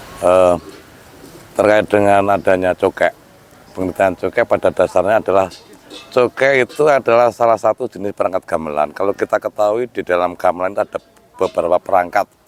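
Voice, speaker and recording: Fairly quick pace, ordinary pitch variation, and a dry, close sound with no echo. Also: man, fairly low pitch for a man. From Central Java, Sragen. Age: 50s. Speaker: traditional music expert. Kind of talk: interview. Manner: halting.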